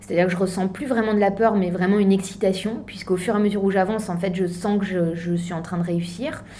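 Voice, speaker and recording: A woman at a medium pitch with fairly even intonation, audible room echo, and noticeable background noise. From eastern France. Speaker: mountaineer and charity founder. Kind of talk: interview. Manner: hesitant, many fillers.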